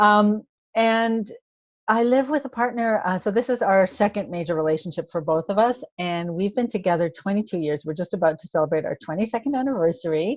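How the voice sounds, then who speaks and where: A woman talks at a fairly quick pace in a normal speaking voice. Her medium pitch carries lively intonation. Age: 60s. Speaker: holistic nutritionist and health coach. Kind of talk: interview.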